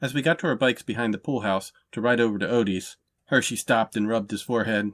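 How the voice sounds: A natural reading voice is heard. The background is quiet.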